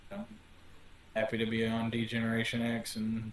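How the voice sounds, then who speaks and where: Noticeable background noise can be heard. The speaking pace is moderate. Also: man. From Ireland, Dublin. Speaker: tabletop game player. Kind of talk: podcast interview, casual chat.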